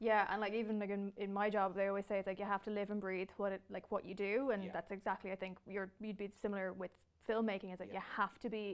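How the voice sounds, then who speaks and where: With an Irish accent, a woman speaks at a very fast pace in a monotone, flat intonation. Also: quiet background. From Ireland. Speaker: entertainment editor and interviewer; interviewer. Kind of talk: interview. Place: studio. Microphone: lapel.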